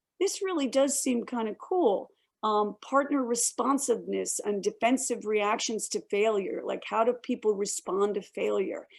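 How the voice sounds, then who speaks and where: A woman's fairly high voice at a moderate pace with lively intonation, an unremarkable speaking voice. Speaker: director of a university honors program. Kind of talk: online information session. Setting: video call.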